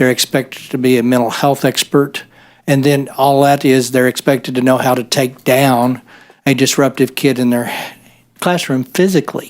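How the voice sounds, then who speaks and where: Here a man with an American accent speaks at a moderate pace. His intonation is monotone and flat, his loudness very even. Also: medium pitch for a man. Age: 60s. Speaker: state senator. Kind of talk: committee hearing discussion.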